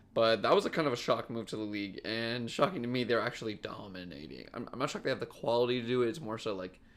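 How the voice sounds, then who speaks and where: Talking at a very fast pace with hardly any pauses, a man uses a medium pitch and ordinary pitch variation. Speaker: sports podcast host. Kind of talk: solo sports podcast commentary. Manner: halting, self-interrupting.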